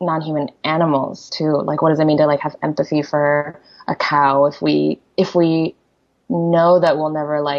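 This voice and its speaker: A woman's very deep, low voice in a Korean accent, monotone and flat. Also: moderate pace. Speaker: poet. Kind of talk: interview conversation. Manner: halting, many fillers.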